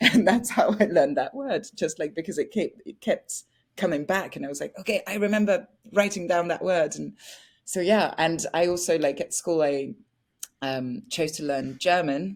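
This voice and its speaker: In a French accent, a woman speaks with a fairly low, bubbly voice and lively intonation at a moderate pace. The recording is very clean, with a silent background. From France (Paris). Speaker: actress. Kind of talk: interview.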